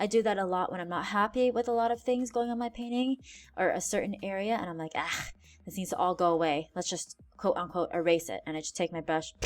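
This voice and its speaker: Over music in the background, a woman at medium pitch talks at a very fast pace with ordinary pitch variation. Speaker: art teacher. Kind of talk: tutorial.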